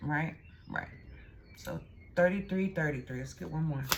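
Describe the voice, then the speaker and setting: In a room with audible echo and noticeable background noise, a woman speaks at a very deep, low pitch with ordinary pitch variation. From Texas. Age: 40s. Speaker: tarot reader. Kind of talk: tarot reading. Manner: casual, conversational.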